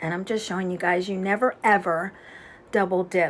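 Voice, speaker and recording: Soft-spoken, this voice moves along fairly slowly. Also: woman. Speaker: beauty instructor. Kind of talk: tutorial.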